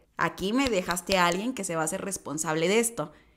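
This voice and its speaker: A woman with a Mexican accent speaks very fast, with lively intonation. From Mexico. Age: 20s. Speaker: lifestyle vlogger. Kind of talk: casual vlog advice. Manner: animated. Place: home room. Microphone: studio mic.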